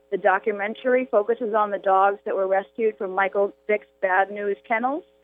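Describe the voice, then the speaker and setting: Against background music, a woman talks at a moderate pace with ordinary pitch variation. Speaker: rescue organization founder. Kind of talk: brief interview.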